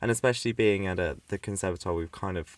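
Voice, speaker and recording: A man speaks with a British accent. His pitch is fairly low. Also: very clean recording, silent background. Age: young (19). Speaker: music student and podcast co-host. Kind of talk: casual chat. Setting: home recording, mic under a desk with a duvet. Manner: animated, laughing often.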